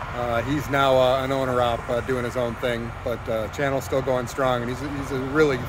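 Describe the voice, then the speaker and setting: A man at a moderate pace with monotone, flat intonation, a dry sound with no echo, and noticeable background noise. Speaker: truck driver vlogger. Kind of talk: casual vlog chat. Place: street. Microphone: phone near.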